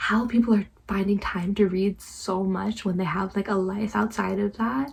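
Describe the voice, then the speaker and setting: A somewhat breathy woman's voice at medium pitch, with fairly even intonation. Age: 20s. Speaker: book vlogger. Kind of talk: casual vlog monologue. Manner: halting, trips over words.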